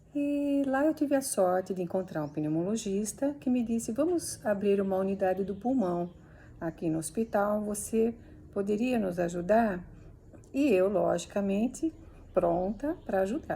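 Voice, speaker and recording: A woman speaks at a medium pitch with a dark, mellow tone. Her delivery is fairly slow and somewhat breathy. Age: 60s. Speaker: physiotherapist. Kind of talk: instructional talk. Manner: hesitant, with fillers.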